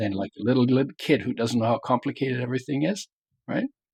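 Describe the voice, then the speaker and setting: A somewhat breathy man's voice at medium pitch with ordinary pitch variation, in a dry, close sound with no echo. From Germany. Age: 70s. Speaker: health author and wellness pioneer. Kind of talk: interview. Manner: halting.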